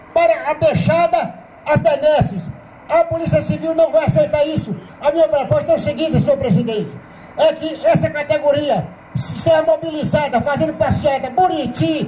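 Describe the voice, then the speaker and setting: A man speaks at a moderate pace with an extremely high pitch and ordinary pitch variation. His loudness stays very even despite noticeable background noise. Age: 70s. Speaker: police union member speaking at assembly. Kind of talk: assembly speech. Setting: union assembly. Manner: fiery, impassioned.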